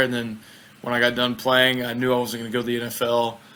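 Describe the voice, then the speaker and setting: This is a man speaking. He has a Southern US accent. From US South, Mississippi. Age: 20s. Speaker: bobsled athlete. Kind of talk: interview. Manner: casual.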